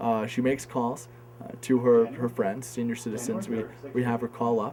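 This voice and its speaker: Against noticeable background noise, the voice holds a moderate pace with monotone, flat intonation. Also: man, medium pitch for a man. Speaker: campaign organizer. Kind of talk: interview answer.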